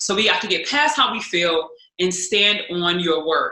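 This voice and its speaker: A woman talks at a medium pitch with lively intonation. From US Midwest, St. Louis, Missouri. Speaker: speaker and former college basketball player. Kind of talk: podcast interview.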